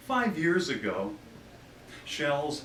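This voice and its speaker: A man speaking at a very slow pace with lively intonation, audible room echo and noticeable background noise. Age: 60s. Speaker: poet. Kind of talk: poetry reading.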